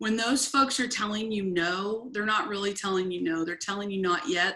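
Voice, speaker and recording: With an American accent, a woman speaks at a medium pitch in a bright, sharp tone with ordinary pitch variation, the recording very clean with a silent background. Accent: Southern drawl, comes out at times. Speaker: network marketing team leader. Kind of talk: team training call.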